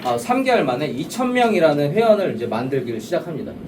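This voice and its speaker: Noticeable background noise and audible room echo both fill the recording. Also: man. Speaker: network marketing presenter. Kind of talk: business opportunity presentation. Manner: rhetorical questions to audience; hesitant fillers.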